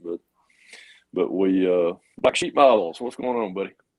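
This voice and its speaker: Talking at a fairly quick pace, a man with a Georgia accent shows ordinary pitch variation in a dry, close sound with no echo. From US South, Georgia. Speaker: model car builder, livestream host. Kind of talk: casual chat. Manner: halting.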